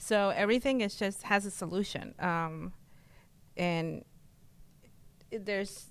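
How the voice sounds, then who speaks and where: A woman with a Spanish accent and a medium pitch speaks at a fairly slow pace with long, frequent pauses, in a very clean recording with a silent background. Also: ordinary pitch variation. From Mexico, Oaxaca; moved to US at eleven. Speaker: real estate client, business owner. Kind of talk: interview. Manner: halting, many fillers.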